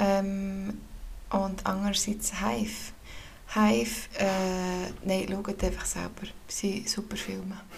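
Amid audible room echo, a woman speaks very slowly at a medium pitch with fairly even intonation. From Switzerland, canton of Bern. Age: 30s. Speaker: podcast co-host. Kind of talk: casual chat.

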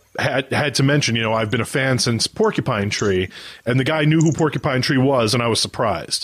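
A man with an American accent has an unremarkable speaking voice at a medium pitch with ordinary pitch variation. He goes at a fairly quick pace with very even loudness. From United States. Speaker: music podcast host. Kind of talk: casual chat.

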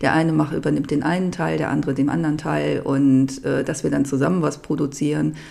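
The speech moves at a fairly quick pace with hardly any pauses, against noticeable background noise. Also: woman. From Germany, Upper Harz (Lower Saxony). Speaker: home cook and cooking YouTuber. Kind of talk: casual interview chat. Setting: studio.

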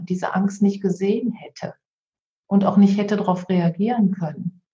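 Speaking at a moderate pace and medium pitch, a woman has a somewhat breathy, dark, mellow tone and monotone, flat intonation. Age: 50s. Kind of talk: interview conversation.

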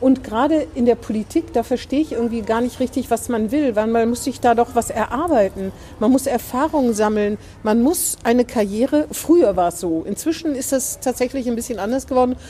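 Pitched high, a woman's voice rises and falls with ordinary pitch variation. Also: fairly quick pace. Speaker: newspaper podcast host. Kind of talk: casual interview chat. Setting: outdoors in front of the door.

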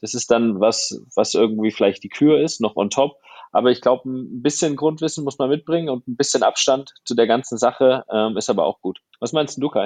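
A normal speaking voice from a man, medium in pitch with ordinary pitch variation, at a moderate pace, in a dry, close sound with no echo. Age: 30s. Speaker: photographer and filmmaker. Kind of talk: casual interview.

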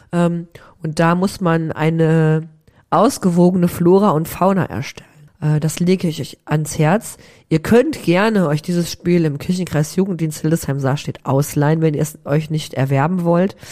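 Her tone dark and mellow, a woman speaks at a fairly low pitch with ordinary pitch variation. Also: moderate pace. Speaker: podcast host. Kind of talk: casual chat. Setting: remote recording from her office.

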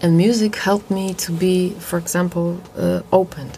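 Someone with a Polish accent speaks at a moderate pace over noticeable background noise. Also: woman. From Poland. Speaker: jazz singer. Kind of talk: interview. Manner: halting.

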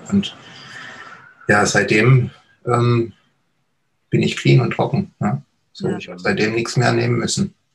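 A man speaks at a very slow pace. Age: 50s. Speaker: recovered addict, hypnotherapist. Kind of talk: personal testimony interview.

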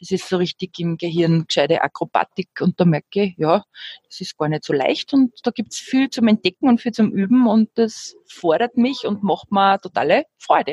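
A woman's somewhat breathy, medium-pitched voice comes through with a dry, close sound and no echo. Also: lively intonation, moderate pace. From Upper Austria. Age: 40s. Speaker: jazz singing teacher and musician. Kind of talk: casual interview.

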